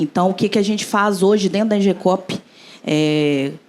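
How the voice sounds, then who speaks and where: The speaker talks at a fairly slow pace. It is an ordinary speaking voice. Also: woman. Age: young. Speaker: engineer and cooperative founder. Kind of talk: panel discussion.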